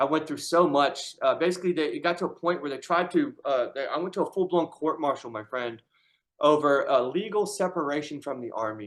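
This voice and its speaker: A man with an American accent has a plain, everyday voice at a fairly high pitch. He speaks at a fairly quick pace with ordinary pitch variation. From Syracuse, New York, US. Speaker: army veteran with brain injury. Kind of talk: casual conversation.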